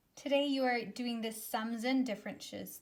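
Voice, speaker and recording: A woman talks at a moderate pace with a fairly high pitch. Hers is a normal speaking voice. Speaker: elementary school teacher. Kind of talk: recorded math lesson for pupils. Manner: upbeat, encouraging.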